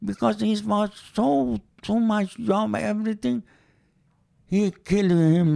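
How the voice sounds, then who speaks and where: Very wide pitch swings mark a man's high-pitched voice, dark and mellow in tone, delivered with a Persian accent at a very slow pace. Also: quiet background. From Iran. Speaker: interviewee, host's father. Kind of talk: casual chat. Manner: halting.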